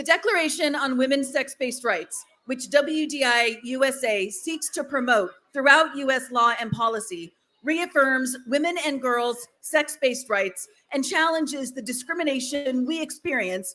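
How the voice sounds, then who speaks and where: Raised and projected, a woman's voice carries a bright, sharp tone and high pitch at a moderate pace with ordinary pitch variation. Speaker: rally speaker, advocate. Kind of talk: rally speech.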